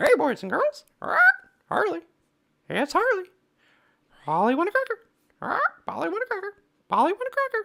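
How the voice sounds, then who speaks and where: Long, frequent pauses in a put-on character voice at an extremely high pitch. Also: moderate pace. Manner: squawky, repetitive.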